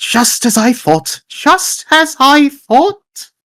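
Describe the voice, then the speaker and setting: This put-on character voice is high-pitched and moves at a very slow pace. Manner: paranoid, smug.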